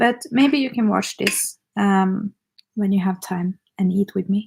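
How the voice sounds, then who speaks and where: A woman speaks at a fairly slow pace and medium pitch with ordinary pitch variation. Her voice is somewhat breathy, and the sound is dry and close with no echo. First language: not English. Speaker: makeup artist and YouTuber. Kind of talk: casual livestream chat. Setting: livestream at home, eating dinner. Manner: hesitant, rusty English.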